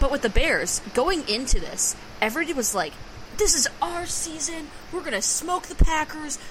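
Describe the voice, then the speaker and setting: Over noticeable background noise, a woman with an American accent speaks at a high pitch. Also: lively intonation, moderate pace. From Wisconsin, Green Bay. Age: 20s. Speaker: sports podcast co-host. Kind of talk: casual chat.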